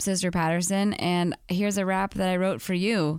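A woman's unremarkable speaking voice at a medium pitch, moderate pace and ordinary pitch variation, with a very clean recording and a silent background. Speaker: author and podcast guest. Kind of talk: casual chat.

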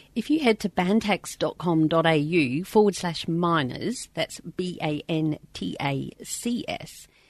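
Speaking very slowly with lively intonation, a woman with an Australian accent uses a medium pitch, recorded dry and close with no echo over a quiet background. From South Australia. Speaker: podcast host and mining truck driver. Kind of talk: casual chat, podcast intro and outro. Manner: casual, chatty, self-deprecating.

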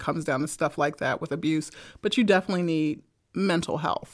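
In a very clean recording with a silent background, a woman with an American accent uses a normal speaking voice at a fairly low pitch with ordinary pitch variation. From Brooklyn, New York. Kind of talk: casual chat about faith. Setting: studio.

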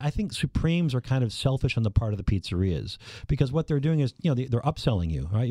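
A man with an American accent talks at a very fast pace, his dark, mellow tone somewhat breathy and his intonation lively. The very clean recording has a silent background and a dry, close sound with no echo. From Minnesota, US Midwest. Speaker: food writer and pizza expert. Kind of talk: interview.

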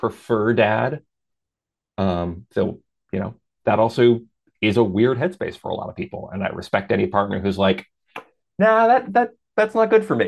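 Long, frequent pauses break up a man's speech at a moderate pace. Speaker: adult performer. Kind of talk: casual interview conversation.

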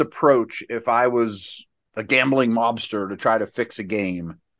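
A man speaks in an unremarkable speaking voice at a medium pitch. His pitch variation is ordinary, and the background is quiet. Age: 50s. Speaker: football analyst, co-host. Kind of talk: casual sports talk.

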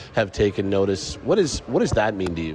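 Noticeable background noise under a male voice pitched fairly low. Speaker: sports reporter. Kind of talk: interview. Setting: on location at awards red carpet.

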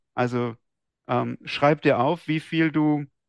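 A man talks in an ordinary speaking voice with ordinary pitch variation. The sound is dry and close with no echo, over a quiet background. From Swabia, southern Germany (Esslingen near Stuttgart). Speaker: trader and trading-system programmer. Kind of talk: interview.

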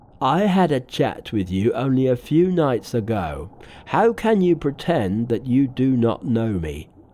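A natural voice doing some reading aloud

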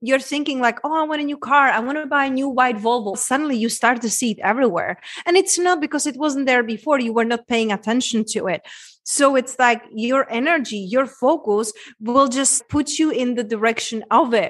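A woman speaks at a fairly quick pace with a Czech accent and a high pitch. Her pitch varies in an ordinary way, and the background is quiet. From Czech Republic, small town. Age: 30s. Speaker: women's transformation coach. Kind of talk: interview conversation.

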